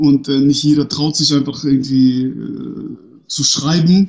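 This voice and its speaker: In a monotone, flat intonation, a man delivers his words at a medium pitch. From northern Germany, Bremen. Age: 30s. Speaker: youth sports organization director. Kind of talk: interview. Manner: hesitant, many fillers.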